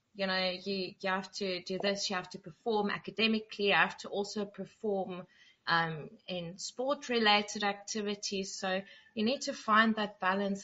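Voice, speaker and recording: In a normal speaking voice, a woman talks at medium pitch with fairly even intonation. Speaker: moderator reading chat comments. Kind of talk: casual chat moderation. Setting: live video stream.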